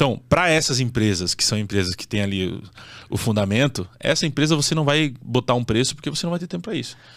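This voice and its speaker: A man talks at a very fast clip in a medium pitch, his intonation lively. The background is quiet. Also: dry sound with no echo. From southern Brazil (Santa Catarina). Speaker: real estate fund investment influencer. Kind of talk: casual interview. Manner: direct. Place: studio. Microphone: studio mic.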